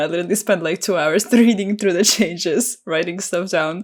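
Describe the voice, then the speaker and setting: A woman with a non-native accent, in a very clean recording with a silent background. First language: not English. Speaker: YouTuber, card game channel host. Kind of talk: casual interview chat.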